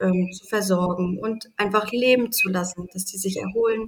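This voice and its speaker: A woman talks at a moderate pace, her pitch medium. She has an unremarkable speaking voice. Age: 30s. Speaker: animal sanctuary founder. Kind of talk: interview.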